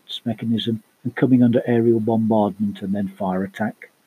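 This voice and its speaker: With a British accent, a man of medium pitch speaks at a moderate pace, his pitch varying in an ordinary way. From UK. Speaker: podcast host, tabletop role-playing gamer. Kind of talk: scripted podcast monologue.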